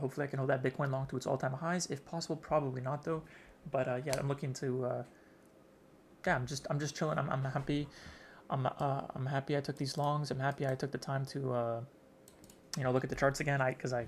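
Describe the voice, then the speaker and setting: A man whispers at a very fast pace, somewhat breathy. The recording is very clean, with a silent background. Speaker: day trader vlogger. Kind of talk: casual trading journal vlog. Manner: whispering, talking weird; halting, many fillers.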